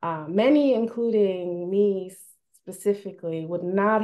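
Speaking at a very slow pace, a woman keeps her intonation fairly even. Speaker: conference moderator. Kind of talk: opening remarks at an online conference. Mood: warm, grateful, smiling. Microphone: video call.

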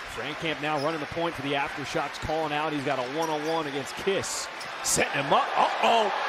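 Over noticeable background noise, a man speaks very fast in an animated tone at a fairly high pitch. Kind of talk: live sports commentary. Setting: broadcast. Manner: fast, animated play-by-play with rising excitement.

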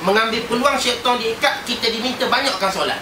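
A man speaks in a raised, projected voice at an extremely high pitch and a moderate pace. Background noise is noticeable. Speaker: Islamic preacher; religious teacher. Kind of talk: sermon. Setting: prayer hall. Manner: animated. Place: church. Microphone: poor audio quality.

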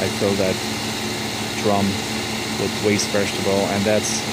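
Loud background noise runs under a man speaking at a moderate pace. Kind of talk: tutorial. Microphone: phone near.

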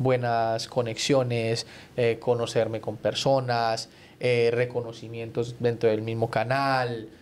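Flat and monotone, a man talks at a very slow pace. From Colombia. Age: 30s. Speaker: TV journalist. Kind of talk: casual chat. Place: studio. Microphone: studio mic.

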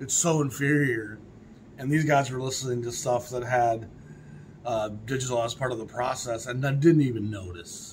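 A man's voice at a moderate pace with fairly even intonation over light background noise. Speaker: record collector vlogger. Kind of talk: casual vlog chat. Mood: opinionated, mildly scornful. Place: home room.

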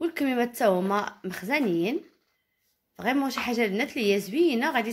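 A woman speaks in a high voice. Her pace is moderate. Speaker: caftan designer and seller. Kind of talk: product showcase.

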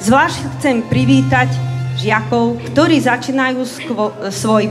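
Fairly slow speech over faint background music. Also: woman. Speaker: school principal or teacher. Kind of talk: welcome speech. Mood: warm, formal welcome. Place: hall. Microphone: camera far.

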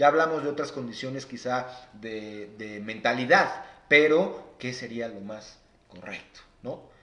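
In a room with audible echo, a man speaks at a fairly slow pace with ordinary pitch variation and big swings in loudness. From Mexico. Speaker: financial advisor; guest. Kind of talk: live stream interview; interview answer. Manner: halting. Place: home room. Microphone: phone near.

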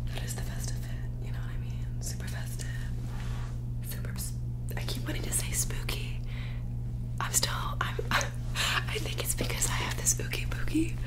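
A soft-spoken voice whispers at a moderate pace with long, frequent pauses. Loud background noise is present. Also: woman. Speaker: ASMR creator. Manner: soft whispered rambling. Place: home room. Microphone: studio mic.

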